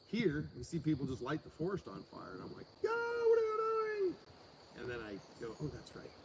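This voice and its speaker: Noticeable background noise sits under this man's moderate pace. His loudness swings a lot. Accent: American. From US Pacific Northwest. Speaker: ranch owner, livestreamer. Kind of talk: casual chat.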